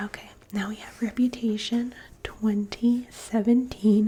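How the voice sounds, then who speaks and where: Soft-spoken, a woman talks at a very slow pace. Her pitch is fairly high. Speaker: ASMR content creator. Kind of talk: ASMR magazine flip-through, casual talk to camera. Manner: soft-spoken, casual, chatty.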